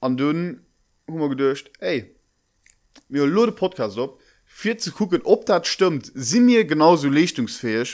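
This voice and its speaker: On a very clean recording with a silent background, a man speaks at a fairly slow pace and fairly high pitch, with very wide pitch swings and long, frequent pauses. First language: Luxembourgish (speaking German). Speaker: podcast co-host. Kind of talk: casual chat.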